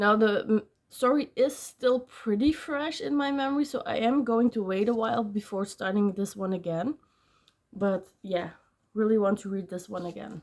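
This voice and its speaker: A woman's fairly high voice with a non-native accent, on a very clean recording over a silent background. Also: ordinary pitch variation, moderate pace. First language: not English. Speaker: book vlogger. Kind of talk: casual vlog talk. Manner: hesitant, many fillers.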